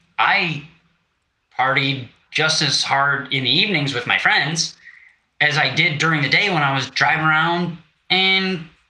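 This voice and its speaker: There is audible room echo around this man's voice. He speaks at a fairly high pitch with lively intonation. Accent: American. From Wisconsin. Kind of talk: interview conversation. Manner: casual, halting.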